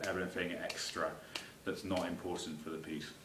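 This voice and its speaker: A man's very deep, low voice in an English accent with monotone, flat intonation, amid audible room echo and noticeable background noise. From England. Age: 20s. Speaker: composer. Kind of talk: self-presentation of a music piece. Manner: hesitant, many fillers.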